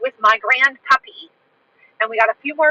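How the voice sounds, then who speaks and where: A woman projects a raised, high-pitched voice with a bright, sharp tone at a moderate pace, and the sound is dry and close with no echo. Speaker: livestream host and English teacher. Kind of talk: casual livestream talk. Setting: outdoors walking in a park. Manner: clear.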